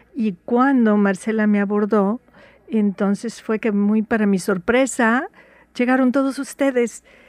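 A woman speaks fairly slowly in an unremarkable speaking voice, pitched fairly high, with fairly even intonation. Her loudness stays very even, and the sound is dry and close with no echo. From Veracruz, Mexico. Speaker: writer. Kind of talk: radio interview.

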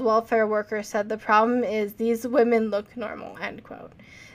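This woman has a plain, everyday voice, fairly high in pitch, and speaks at a moderate pace. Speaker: podcast host. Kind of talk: casual chat, reading a case narrative aloud.

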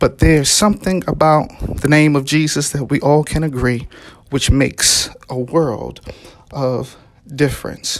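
Delivered in an American accent at a fairly slow pace, the speech has an animated tone and long, frequent pauses. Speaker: preacher. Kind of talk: Easter sermon, preacher in full flow, exhorting and building to a rousing call. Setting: online or broadcast service during pandemic, listeners at home or in cars. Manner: animated, rhythmic, emphatic repetition; fervent, encouraging, call-and-response cadence.

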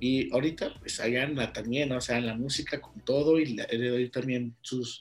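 On a very clean recording with a silent background, a man of medium pitch speaks at a moderate pace in a monotone, flat intonation. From Mexico, Guanajuato (León). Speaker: podcast host. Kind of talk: casual interview chat. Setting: private recording session.

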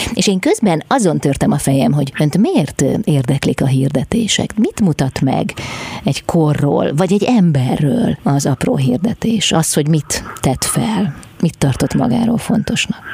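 Through noticeable background noise, a woman with a very deep, low voice speaks at a fairly slow pace, keeping her loudness very even while her pitch swings very widely. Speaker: radio host. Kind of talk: radio interview. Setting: studio. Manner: formal.

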